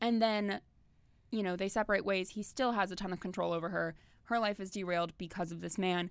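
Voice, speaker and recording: Very clean recording, silent background, with a woman at a medium pitch and a fairly quick pace. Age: 20s. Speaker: podcast co-host. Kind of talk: casual chat. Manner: animated.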